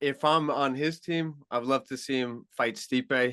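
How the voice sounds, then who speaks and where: A man with a Long Island accent, his tone bright and sharp, with ordinary pitch variation. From Long Island, New York. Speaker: MMA journalist. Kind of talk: podcast interview. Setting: radio show.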